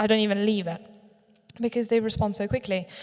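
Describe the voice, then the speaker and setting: Speaking at a very fast pace in a London accent, a woman has a fairly high pitch. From south London, Streatham. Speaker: acupuncturist. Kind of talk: public talk.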